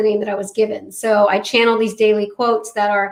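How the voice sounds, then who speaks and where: A woman talks at a fairly quick pace in a fairly high pitch. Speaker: spiritual author and medium. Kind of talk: interview. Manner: fast.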